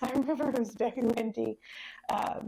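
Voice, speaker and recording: A woman talks at a moderate pace with a Midwestern American accent. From Monroe, Ohio. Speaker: library branch manager. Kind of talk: oral history interview answer.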